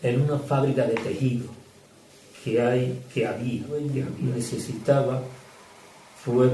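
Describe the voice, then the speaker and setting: A man talks at a very slow pace. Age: 70s. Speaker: retired carpenter and cabinetmaker. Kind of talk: interview answer.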